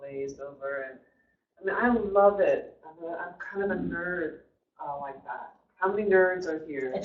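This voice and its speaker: Loud speech at a moderate pace. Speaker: guest presenter. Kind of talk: presentation. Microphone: too quiet for online listeners.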